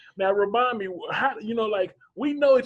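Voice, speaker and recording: A man with a Southern accent and an extremely high pitch. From US South. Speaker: interview show host. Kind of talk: casual interview chat.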